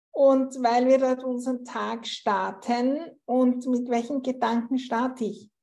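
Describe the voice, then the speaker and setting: The delivery is very slow and monotone, with flat intonation. The tone is dark and mellow, with a slight Viennese accent. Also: woman, high pitch for a woman. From Austria, Vienna. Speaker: interior space coach. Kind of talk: interview conversation.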